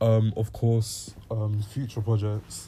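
A man's somewhat breathy voice, fairly low in pitch, with a dark, mellow tone. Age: 20s. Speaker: musician. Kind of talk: casual Q&A monologue. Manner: hesitant, many fillers.

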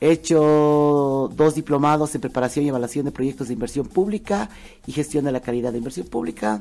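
A woman's very deep, low voice, dark and mellow in tone, with a Bolivian accent, lively intonation and a fairly quick pace. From Bolivia, Cochabamba. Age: 50s. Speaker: entertainer and economist. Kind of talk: casual interview. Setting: studio.

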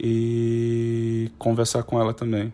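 A man talks at a medium pitch in a dark, mellow tone. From Ceará, Brazil (Fortaleza). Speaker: translation studies researcher. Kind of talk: academic talk about own research. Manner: halting, with frequent repetitions.

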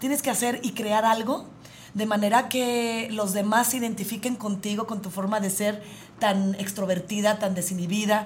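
Amid noticeable background noise and audible room echo, a woman with a fairly high pitch talks in an animated tone at a moderate pace. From Jalisco, Mexico. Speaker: radio host. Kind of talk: casual chat.

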